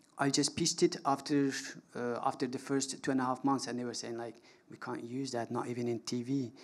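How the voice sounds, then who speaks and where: This man talks fairly quickly. His intonation stays monotone and flat. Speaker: documentary filmmaker; panelist. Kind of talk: panel discussion answer. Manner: halting. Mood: reflective, earnest. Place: stage. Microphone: handheld.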